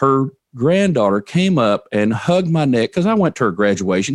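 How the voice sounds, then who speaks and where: A man at medium pitch and a fairly quick pace, very wide pitch swings, very even loudness, dry, close sound with no echo, and a quiet background. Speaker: financial advisor and podcast host. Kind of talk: interview conversation. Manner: storytelling.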